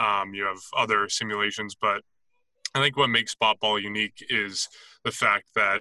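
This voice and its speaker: A man with a Canadian accent speaks at a fairly low pitch and a moderate pace, his tone bright and sharp. The sound is dry and close with no echo, and the background is quiet. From Canada. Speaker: league scheduler. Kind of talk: interview.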